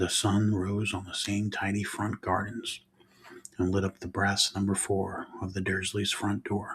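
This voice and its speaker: Soft-spoken and whispering, the voice moves at a fairly slow pace. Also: man. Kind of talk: ASMR soft-spoken book reading. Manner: soft-spoken, whispery.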